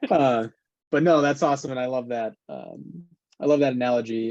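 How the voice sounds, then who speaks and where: A man talks in an American accent at a moderate pace. His pitch is medium and his intonation fairly even. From Wisconsin. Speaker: podcast host and community founder. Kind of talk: casual interview chat. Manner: many fillers and restarts.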